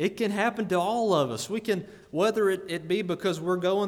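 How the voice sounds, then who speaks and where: Over audible room echo, a man with a high pitch speaks at a moderate pace with fairly even intonation. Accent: Alabama. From Greene County, Alabama. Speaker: lay preacher. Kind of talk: sermon. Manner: repeats words, hesitant starts.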